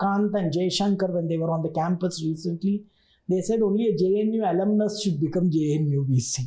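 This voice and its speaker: With a Telugu accent, a woman speaks at medium pitch in a dark, mellow tone with ordinary pitch variation. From southern India, Tamil Nadu. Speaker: university vice chancellor. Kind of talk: interview.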